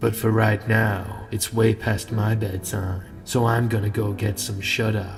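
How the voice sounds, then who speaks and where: Against clear music in the background, a man talks at a fairly slow pace in a fairly low, monotone, flat voice. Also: hardly any pauses. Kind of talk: bedtime story. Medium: read story. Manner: calm, measured.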